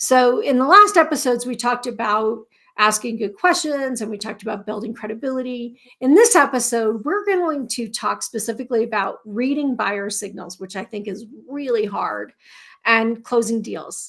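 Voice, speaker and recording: A woman's squeaky, fairly high voice has a bright, sharp tone, ordinary pitch variation and big swings in loudness. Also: moderate pace. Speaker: podcast host. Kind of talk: live podcast intro. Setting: LinkedIn Live stream.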